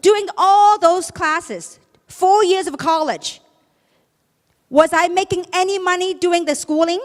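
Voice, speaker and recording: A woman with an extremely high pitch and an animated tone speaks at a fairly slow pace, with ordinary pitch variation and long, frequent pauses. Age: 50s. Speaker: network marketing leader. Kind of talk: motivational speech. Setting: stage with audience.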